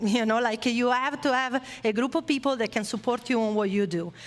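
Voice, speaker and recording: A woman's high voice at a moderate pace, with an Italian accent. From Italy. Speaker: former motorcycle racer, esports industry speaker. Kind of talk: motivational talk to audience. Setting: stage with live audience, streamed online.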